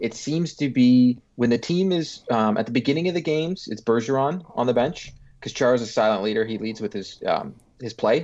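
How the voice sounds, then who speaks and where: An unremarkable speaking voice belongs to a man at medium pitch, talking at a fairly quick pace with ordinary pitch variation. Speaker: hockey podcast co-host. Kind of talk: casual chat.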